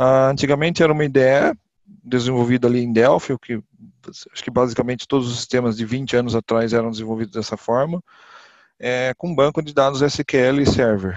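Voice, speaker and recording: In a normal speaking voice, a man talks fairly quickly at a medium pitch. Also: fairly even intonation. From interior of São Paulo state, Brazil (Botucatu). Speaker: IT professional at a funeral assistance company. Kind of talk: podcast interview.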